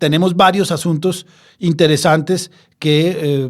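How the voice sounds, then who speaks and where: With a Bogotá accent, a man speaks very slowly at a fairly high pitch in a very clean recording with a silent background. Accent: Colombian Spanish (Bogotá). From Colombia, Bogotá. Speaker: sports law podcast host. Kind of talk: casual podcast discussion. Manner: hesitant, many fillers.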